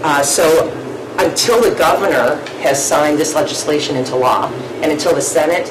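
A woman speaks with a very deep, low pitch and fairly even intonation. Noticeable background noise runs behind her. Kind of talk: meeting report. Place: meeting room. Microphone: podium.

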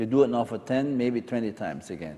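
A man's voice has a dark, mellow tone. His intonation is lively. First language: German. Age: 70s. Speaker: resort guest giving testimonial. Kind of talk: interview testimony. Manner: halting. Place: home room. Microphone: lapel.

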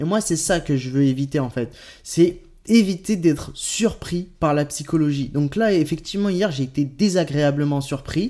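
A man's dark, mellow voice, fairly high in pitch, at a fairly slow pace. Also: ordinary pitch variation, quiet background. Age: 20s. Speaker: crypto YouTuber. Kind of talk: video commentary. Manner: hesitant, many euh fillers. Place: home room.

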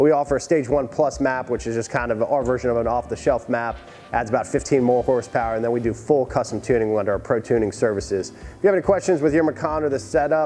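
Faint music plays behind a man talking at a very fast pace. His pitch varies in an ordinary way. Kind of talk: commentary. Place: garage.

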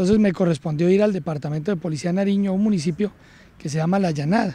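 Dark and mellow in tone, a man's high-pitched voice moves with ordinary pitch variation in a dry sound with no echo. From Colombia, Cúcuta (Norte de Santander); Norte de Santander, Colombia. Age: 40s. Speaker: police colonel, police academy director. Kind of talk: interview. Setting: at the police academy. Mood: calm, reflective. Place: garden. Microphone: handheld.

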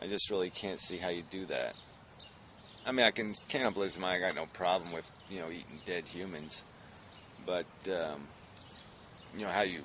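A man talks over noticeable background noise. The sound is dry with no echo. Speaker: vlogger. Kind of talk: casual vlog chat. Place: forest. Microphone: phone near.

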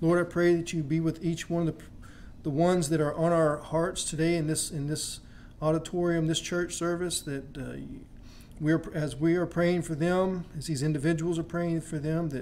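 A man's high-pitched, monotone, flat voice over light background noise. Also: moderate pace. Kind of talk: prayer. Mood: reverent, calm. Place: church. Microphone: podium.

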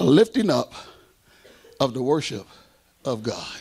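Animated tone from a man, fairly high in pitch, against a quiet background. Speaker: preacher. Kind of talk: sermon. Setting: church. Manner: animated, exhorting, rhetorical questions and call-and-response; conversational, direct audience address. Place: church. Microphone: handheld.

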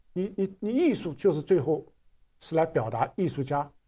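Against a quiet background, a man with a dark, mellow tone and fairly high pitch speaks at a moderate pace with lively intonation. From China. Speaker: artist recounting art school life; interview guest, art commentator. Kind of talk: interview. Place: studio.

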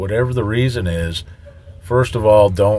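At a moderate pace, a man speaks in a somewhat breathy, fairly low voice with ordinary pitch variation. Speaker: truck driver trainer. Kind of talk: tutorial. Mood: calm, advising. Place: car. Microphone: phone near.

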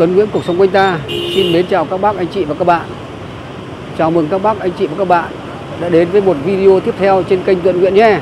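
Echo-free, dry audio with clearly audible background noise. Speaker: travel vlogger. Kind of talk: casual vlog chat. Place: street. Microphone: phone near.

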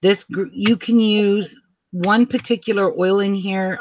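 A woman with a normal speaking voice, ordinary pitch variation and a fairly slow pace, against a quiet background. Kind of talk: tutorial. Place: home room.

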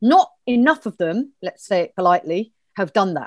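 Over a quiet background, a woman with a southern English accent speaks at a fairly quick pace with lively intonation, the sound dry with no echo. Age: 50s. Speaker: community organiser; interview guest. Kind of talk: interview. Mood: earnest, upset, determined. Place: home room. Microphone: earbuds.

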